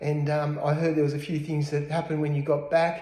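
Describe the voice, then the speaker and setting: A man talks in an Australian accent with a fairly high pitch and monotone, flat intonation. The room has an audible echo. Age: 60s. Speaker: real estate agent. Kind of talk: mock self-interview, casual. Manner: hesitant, many fillers.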